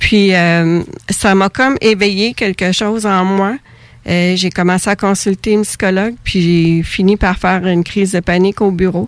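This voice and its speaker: A woman speaks in a normal speaking voice at a medium pitch and moderate pace. Her intonation is fairly even, her loudness very even, and the sound dry and close with no echo. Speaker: author of a book on twin bereavement. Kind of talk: radio interview.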